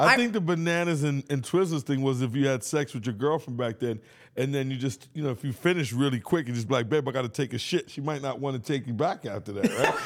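A man's fairly high voice in a New York accent, at a very fast pace with hardly any pauses. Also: ordinary pitch variation. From New York, Bronx. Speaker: podcast host. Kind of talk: casual chat.

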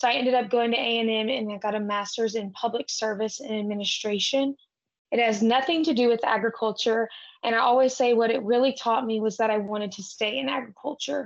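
Here is a woman with a Texan accent. Her pitch is fairly high. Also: ordinary pitch variation. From South Texas. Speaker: ranch-raised cattle association manager and podcaster. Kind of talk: casual interview.

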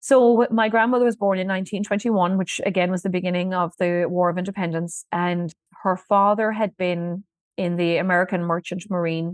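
A woman with a Kerry accent talks at a fairly quick pace and a medium pitch. The sound is dry and close, with no echo. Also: fairly even intonation. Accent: Kerry Irish. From Ireland, Listowel, County Kerry. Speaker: museum director and historian. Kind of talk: storytelling interview.

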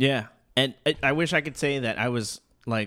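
His intonation stays fairly even. The recording of this man is very clean, against a silent background. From Arizona. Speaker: singer-songwriter and guitarist. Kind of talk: casual chat.

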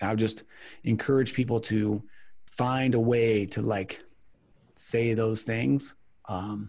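Somewhat breathy and medium in pitch, a man speaks with ordinary pitch variation and long, frequent pauses on a very clean recording with a silent background. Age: 30s. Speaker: business owner, attorney. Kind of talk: podcast interview.

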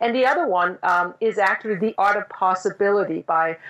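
A woman speaks at a moderate pace, her medium pitch showing ordinary variation. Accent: Danish. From Denmark. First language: Danish. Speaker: business executive and author. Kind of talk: interview. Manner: halting.

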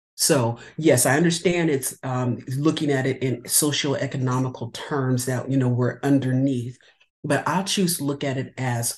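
This speaker talks at a fairly slow pace with an American accent and fairly even intonation. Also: woman. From California. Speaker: novelist. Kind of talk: interview.

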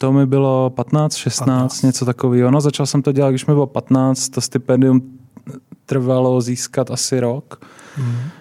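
The delivery is monotone and flat at a moderate pace. The sound is dry and close, with no echo. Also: man, medium pitch for a man. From Czechia, Brno. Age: 20s. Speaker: school founder. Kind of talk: casual interview.

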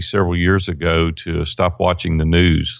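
A man speaks with a Southern US accent in a very deep, low voice. He keeps a moderate pace, and the recording is very clean with a silent background. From Tennessee, Nashville. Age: 50s. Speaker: business coach. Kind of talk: interview.

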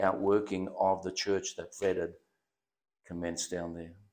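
A man with an Australian accent speaks at a fairly low pitch in a monotone, flat intonation, recorded very cleanly with a silent background. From Western Australia, Perth (born in Germany, arrived very young). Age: 70s. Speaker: pastor. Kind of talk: casual interview, life story testimony. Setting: studio.

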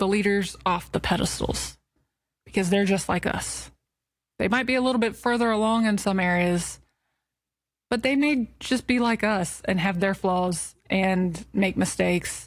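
Heard on a very clean recording with a silent background, a woman has an ordinary speaking voice at a medium pitch. Her pace is moderate, her loudness very even and her pitch variation ordinary. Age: 30s. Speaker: podcast host. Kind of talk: personal monologue.

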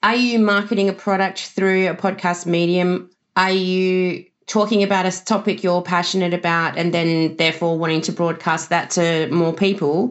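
A woman with an Australian accent talks at a moderate pace in a medium pitch. Her intonation is fairly even and her loudness very even. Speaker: social media marketer. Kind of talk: interview answers.

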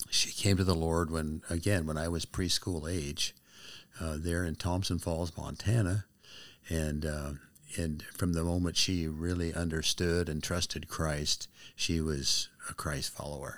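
A man's very deep, low voice with an American accent, monotone and flat, at a fairly slow pace in a very clean recording with a silent background. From US Pacific Northwest. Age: 70s. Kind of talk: testimony.

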